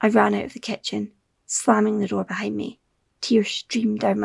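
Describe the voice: This is plain reading aloud. The background stays quiet.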